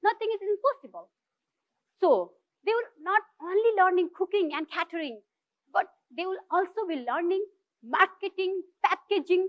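Over a quiet background, a woman with a Nepali accent and an extremely high pitch speaks at a moderate pace with long, frequent pauses. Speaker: social entrepreneur; speaker. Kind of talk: inspirational talk. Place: stage.

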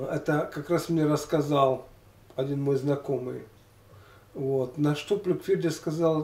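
Somewhat breathy and fairly high-pitched, a man speaks at a very slow pace with long, frequent pauses. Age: 60s. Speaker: former weightlifter and health vlogger. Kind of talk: casual monologue of reminiscences. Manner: halting, with many fillers.

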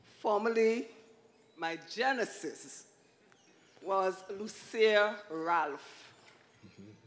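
A woman speaks at a very slow pace, her pitch medium with ordinary variation. Long pauses come often. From Antigua, Bethesda village; Antigua. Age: old. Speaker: retired schoolteacher. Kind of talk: church interview testimony. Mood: warm, smiling, earnest. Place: stage. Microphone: handheld.

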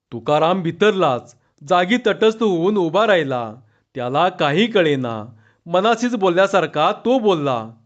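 Lively intonation marks this plain reading aloud over a quiet background.

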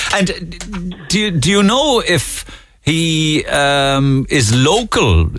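Against background music, a man with a high pitch talks very slowly, his intonation lively and his loudness very even, in a dry sound with no echo. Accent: Cork. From Cork, Ireland. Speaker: radio presenter. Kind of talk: radio phone-in interview. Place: studio.

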